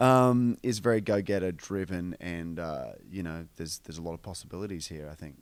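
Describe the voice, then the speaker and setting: A man speaks with an Australian accent on a very clean recording with a silent background. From Australia, northern beaches of Sydney. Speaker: film actor. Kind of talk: radio interview. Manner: halting, many fillers and repeats.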